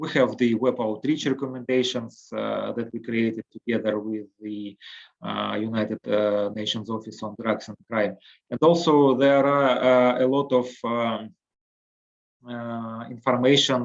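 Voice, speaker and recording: This man speaks with a Russian accent. His pace is fairly slow and his intonation fairly even. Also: medium pitch for a man. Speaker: harm reduction program director. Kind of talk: webinar presentation. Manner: halting, many fillers.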